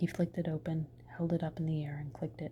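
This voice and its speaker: Soft-spoken whispering at a fairly quick pace. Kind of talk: ASMR bedtime story reading. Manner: whispered, soft-spoken.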